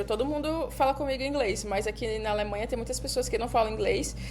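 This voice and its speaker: A woman speaks at a fairly quick pace. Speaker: podcast co-host. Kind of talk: casual chat.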